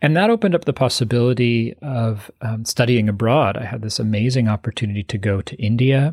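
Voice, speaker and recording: At a fairly quick pace with hardly any pauses, a man speaks at a medium pitch with ordinary pitch variation. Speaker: meditation teacher and author. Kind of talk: interview, conversational.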